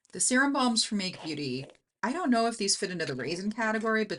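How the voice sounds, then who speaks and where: Over a quiet background, a woman speaks with very wide pitch swings. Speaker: beauty YouTuber. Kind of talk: casual tutorial. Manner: casual, thinking aloud.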